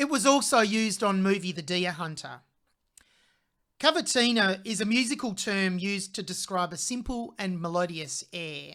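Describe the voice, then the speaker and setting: A woman with an Australian accent speaks at a moderate pace with lively intonation and a medium pitch, in a very clean recording with a silent background. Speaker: music reaction channel host, vocal coach. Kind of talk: video reaction commentary. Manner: conversational, occasional self-corrections.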